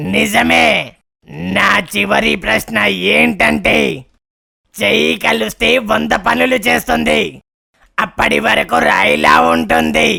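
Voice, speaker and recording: A man puts on a cartoonish character voice with a very deep, low pitch. He talks at a very slow pace. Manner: commanding, boastful.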